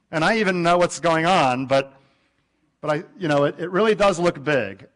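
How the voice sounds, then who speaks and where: This man's intonation is lively. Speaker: astronomy professor. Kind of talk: lecture. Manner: animated.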